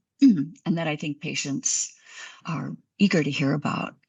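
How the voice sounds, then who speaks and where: Against a quiet background, a woman speaks fairly slowly with vocal fry. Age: 60s. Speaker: physician. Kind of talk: interview.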